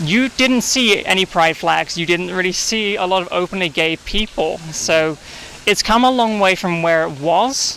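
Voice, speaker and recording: Noticeable background noise sits behind a man with a high pitch. He uses a raised, projected voice at a moderate pace. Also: ordinary pitch variation. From England, east London. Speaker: coffee shop manager. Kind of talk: casual interview.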